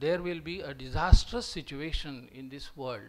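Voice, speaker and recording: A man with a high voice and a Marathi Indian accent, at a moderate pace. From Maharashtra, India. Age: 60s. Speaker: retired professor. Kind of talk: lecture. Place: hall. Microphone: podium.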